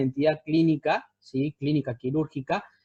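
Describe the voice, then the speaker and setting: Somewhat breathy and fairly high-pitched, the man's dark, mellow tone comes through with a dry, close sound and no echo. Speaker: surgeon teaching residents. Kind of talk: lecture. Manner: fast.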